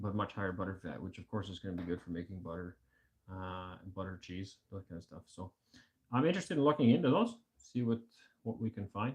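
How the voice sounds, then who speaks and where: Somewhat breathy and fairly low in pitch, a man with a Canadian accent speaks at a very fast pace with big swings in loudness and ordinary pitch variation. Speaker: homesteading livestream host. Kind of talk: casual chat.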